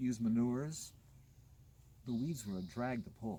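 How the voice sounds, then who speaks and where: A man with a somewhat breathy, dark, mellow tone talks at a moderate pace. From US West Coast, Los Angeles. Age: 60s. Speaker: gardener. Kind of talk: garden tour talk, casual conversation. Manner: animated.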